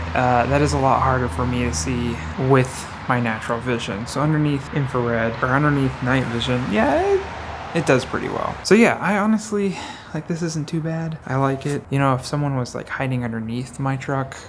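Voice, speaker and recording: Noticeable background noise sits behind a voice that talks at a fairly quick pace. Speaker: electronics repair YouTuber. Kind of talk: casual tutorial. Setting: outdoors at night. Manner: quiet outdoors to not disturb neighbors; casual, filler-heavy.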